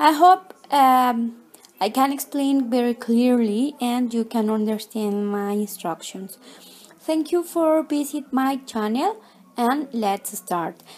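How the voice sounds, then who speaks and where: With a non-native accent, a woman speaks at a high pitch and a very slow pace, using lively intonation. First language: not English. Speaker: crochet tutorial maker. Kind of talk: tutorial. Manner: halting, with many fillers.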